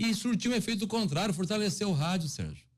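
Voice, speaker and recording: A man speaks in a somewhat breathy voice in a very clean recording with a silent background. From Brazil, Mato Grosso. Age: 40s. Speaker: radio host. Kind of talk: casual interview.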